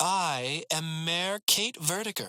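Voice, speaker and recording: The speaker does a put-on character voice at a middle pitch. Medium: read story. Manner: cold, threatening.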